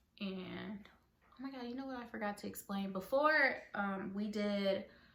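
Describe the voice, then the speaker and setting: A woman's medium-pitched voice at a fairly slow pace, with ordinary pitch variation and audible room echo. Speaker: vlogger. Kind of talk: casual storytelling vlog. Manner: mumbling; filler-heavy.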